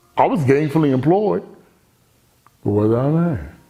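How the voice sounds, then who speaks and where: Speaking in an American accent, a man has a medium pitch with very wide swings and an animated tone. His pace is fairly slow, and room echo is audible. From Baltimore, Maryland. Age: 50s. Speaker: motivational speaker. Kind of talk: personal testimony. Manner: loud.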